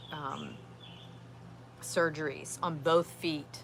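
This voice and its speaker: Very slow and very deep, a woman's voice comes with a bright, sharp tone and vocal fry. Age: 50s. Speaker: outdoors vlogger. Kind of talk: casual live-stream chat. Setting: outdoors in backyard. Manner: halting, many fillers.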